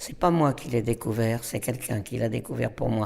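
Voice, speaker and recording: A man's dark, mellow voice with vocal fry. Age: 80s+. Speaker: storyteller. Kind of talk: interview. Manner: halting.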